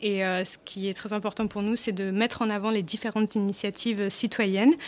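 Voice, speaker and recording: A woman talks at a moderate pace and a medium pitch. Her intonation is monotone and flat. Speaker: UN refugee agency staff member. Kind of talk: radio interview. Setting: studio. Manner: halting.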